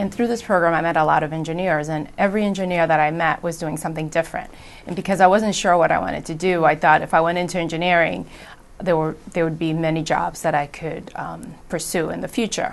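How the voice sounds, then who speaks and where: Speaking at a very fast pace in a Spanish accent, a woman uses a fairly low pitch with fairly even intonation. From Providence, Rhode Island (born Dominican Republic). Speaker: engineer in technology transfer. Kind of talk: interview testimony.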